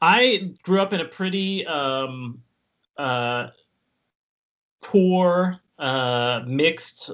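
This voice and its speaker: This man speaks with an American accent at a fairly high pitch and a very slow pace. His intonation is lively, broken by long, frequent pauses. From US West Coast, San Diego, California. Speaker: cartoonist and illustrator. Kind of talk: casual chat. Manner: halting, many fillers.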